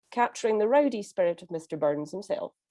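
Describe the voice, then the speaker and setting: Speaking with a Scottish accent, a woman uses a medium pitch, a moderate pace and a dark, mellow tone. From Scotland. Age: 50s. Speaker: conference interpreter. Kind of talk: prepared talk. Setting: pre-recorded speech.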